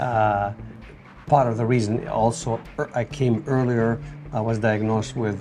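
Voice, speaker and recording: The speaker talks at a moderate pace in a Tunisian accent, with fairly even intonation. Long, frequent pauses break up the speech. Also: man, medium pitch for a man. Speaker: returned emigrant, former restaurant owner. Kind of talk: interview. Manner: hesitant, with filler sounds.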